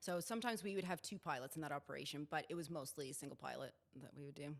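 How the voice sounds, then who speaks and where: Very deep and low in pitch, a woman talks at a very fast pace with ordinary pitch variation. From Canada, Alberta. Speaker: air ambulance helicopter pilot. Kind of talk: casual interview chat.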